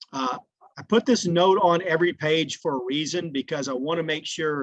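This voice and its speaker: A man with an ordinary speaking voice talks at a moderate pace with a fairly high pitch and ordinary pitch variation. The sound is dry and close, with no echo. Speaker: log home company sales executive. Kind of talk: webinar presentation.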